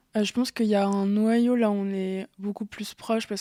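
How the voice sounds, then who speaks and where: At a fairly quick pace, a woman talks in a medium pitch with a dark, mellow tone and monotone, flat intonation, the sound dry and close with no echo. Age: 20s. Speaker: event organizer. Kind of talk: testimony. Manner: halting.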